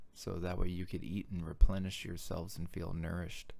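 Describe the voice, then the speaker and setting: A man speaks with a very deep, low pitch at a fairly slow pace. His intonation stays fairly even. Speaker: founder of a backyard ninja course. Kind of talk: personal video message. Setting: office. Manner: halting.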